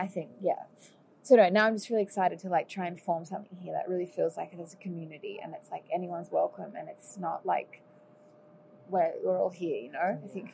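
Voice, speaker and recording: Talking at a very fast pace, a woman speaks in an Australian accent. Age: 20s. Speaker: singer and musician. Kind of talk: casual chat. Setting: at home over lunch.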